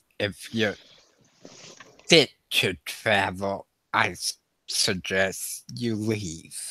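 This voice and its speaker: A man's put-on character voice, fairly low in pitch, at a very slow pace with long, frequent pauses. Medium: actual play. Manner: blunt, gruff.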